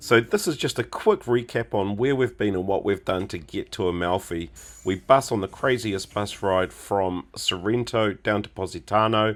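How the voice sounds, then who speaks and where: A man talks at a moderate pace with hardly any pauses and ordinary pitch variation, in an ordinary speaking voice. The recording is very clean, with a silent background. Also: fairly low pitch for a man. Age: 50s. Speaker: travel vlogger. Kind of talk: travel vlog narration.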